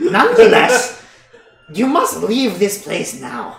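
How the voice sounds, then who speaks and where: With slight echo, a put-on character voice speaks at a fairly high pitch and a fairly slow pace. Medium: actual play. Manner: nagging.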